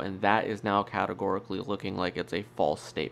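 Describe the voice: A man talks at a fairly quick pace in a nasal voice.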